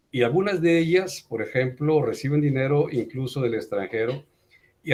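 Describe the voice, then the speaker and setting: A man's fairly slow pace is carried by lively intonation. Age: 60s. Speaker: teacher. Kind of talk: online class discussion. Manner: animated.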